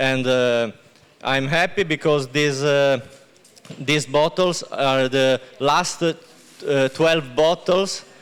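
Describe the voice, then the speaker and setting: In an Italian accent, a man speaks very slowly at a fairly high pitch, with fairly even intonation, very even loudness and long, frequent pauses. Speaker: winemaker. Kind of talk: product presentation. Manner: halting.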